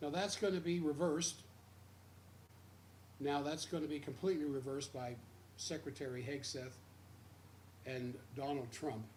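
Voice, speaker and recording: In a room with audible echo, a man with an American accent speaks at a moderate pace with long, frequent pauses, his somewhat breathy voice fairly high in pitch with ordinary pitch variation. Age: 70s. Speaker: radio host. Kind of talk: radio commentary. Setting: radio studio, simulcast stream.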